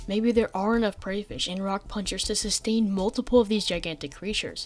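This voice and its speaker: Very fast speech from a woman, music playing behind her. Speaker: gaming video narrator. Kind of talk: game lore theory narration. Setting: home recording, basic microphone.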